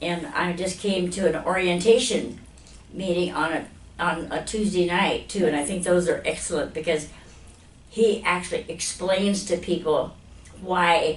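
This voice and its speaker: A woman with an American accent and a fairly low pitch speaks at a fairly slow pace with fairly even intonation, amid audible room echo. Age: 80s+. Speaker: chiropractic patient giving testimonial. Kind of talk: testimonial interview. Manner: halting, with fillers and repetitions.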